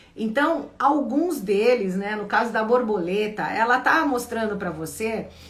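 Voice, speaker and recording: A woman speaks with very wide pitch swings. Audible room echo and noticeable background noise surround her voice. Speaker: spiritual coach. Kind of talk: live Q&A stream. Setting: livestream.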